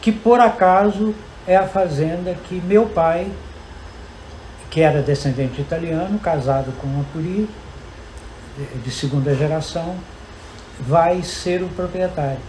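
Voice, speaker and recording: Long, frequent pauses amid noticeable background noise. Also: man, high pitch for a man, ordinary pitch variation, fairly slow pace. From Brazil, Guiricema, Minas Gerais. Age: 80s+. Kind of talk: round-table talk. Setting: university lab, panel before audience.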